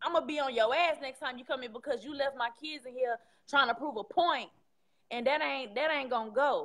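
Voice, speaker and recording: A woman's high, bright, sharp voice in an American accent, animated in tone, with lively intonation at a moderate pace. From Houston, Texas. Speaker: caller. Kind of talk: personal testimony. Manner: loud.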